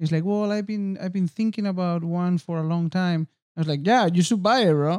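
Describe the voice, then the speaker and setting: Speech moves at a fairly quick pace with fairly even intonation, in a dry, close sound with no echo. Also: man, high pitch for a man. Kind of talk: casual chat.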